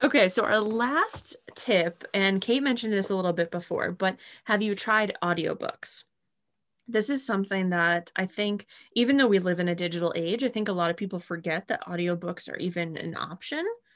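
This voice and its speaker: In a plain, everyday voice, a woman talks at a moderate pace and medium pitch with ordinary pitch variation, and the background is quiet. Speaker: podcast co-host. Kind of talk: casual chat.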